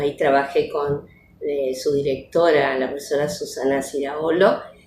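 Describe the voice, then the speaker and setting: At a fairly slow pace, a woman talks at a very deep, low pitch. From Argentina, Córdoba province (Las Varillas). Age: 60s. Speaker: retired educational psychologist and teacher. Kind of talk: interview testimony. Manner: hesitant, many fillers.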